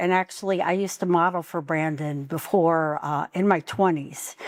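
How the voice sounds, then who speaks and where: Delivery is at a moderate pace with fairly even intonation. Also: woman, very clean recording, silent background. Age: 60s. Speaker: poet. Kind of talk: casual talk at book launch. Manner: halting, many fillers.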